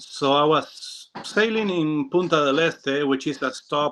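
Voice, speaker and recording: A man speaks very slowly in a bright, sharp tone. His pitch varies in an ordinary way. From Uruguay (Montevideo). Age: 40s. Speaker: professional sailor. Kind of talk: interview. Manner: halting, many fillers.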